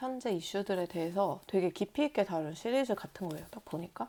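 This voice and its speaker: In a very clean recording with a silent background, a woman speaks at a medium pitch with lively intonation. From South Korea. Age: 30s. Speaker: vlogger. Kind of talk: casual vlog talk.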